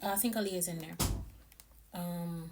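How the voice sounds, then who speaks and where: A somewhat breathy voice with fairly even intonation carries audible room echo. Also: woman. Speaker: vlogger, mom. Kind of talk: casual vlog narration.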